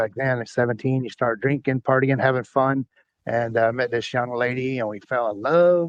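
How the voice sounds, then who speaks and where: Keeping a fairly even intonation, a man speaks in an ordinary speaking voice at a medium pitch and a moderate pace. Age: 60s. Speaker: former truck driver sharing life story. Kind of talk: podcast interview testimony.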